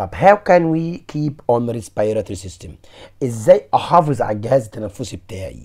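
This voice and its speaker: In an Egyptian accent, a man of medium pitch speaks at a moderate pace, somewhat breathy, with very wide pitch swings and big swings in loudness, in a very clean recording with a silent background. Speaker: science teacher. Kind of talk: lecture.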